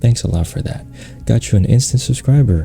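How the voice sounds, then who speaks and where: Male speech at a moderate pace, music in the background. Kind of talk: ASMR Q&A, casual talk to camera. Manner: casual, chatty, humorous.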